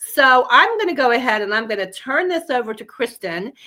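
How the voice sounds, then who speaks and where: A woman projects her high voice in a raised tone. Her delivery is bright and sharp, with lively intonation. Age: 60s. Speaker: pet health product company owner. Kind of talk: product presentation.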